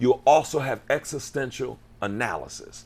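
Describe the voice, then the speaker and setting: The voice has vocal fry and an animated tone. It moves at a moderate pace with very wide pitch swings. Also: man. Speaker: pastor and health channel host. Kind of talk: interview.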